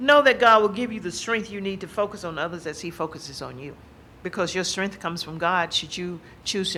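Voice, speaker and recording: A woman talks at a very fast pace in an American accent. Her pitch is fairly low, with ordinary variation. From US South. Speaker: university administrator and speaker. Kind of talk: lecture. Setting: stage with audience.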